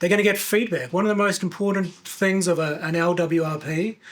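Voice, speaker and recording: With noticeable background noise behind him, a man speaks at a moderate pace in a high pitch with fairly even intonation. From New Zealand. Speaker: environmental analyst, marine biologist. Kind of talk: interview. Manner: hesitant, many fillers.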